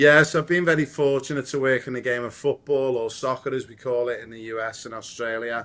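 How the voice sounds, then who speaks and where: A man with a Liverpool accent at a fairly quick pace, hardly any pauses and fairly even intonation. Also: medium pitch for a man. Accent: Liverpool (Scouse). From Liverpool, England. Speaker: football coach and community founder. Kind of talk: podcast interview.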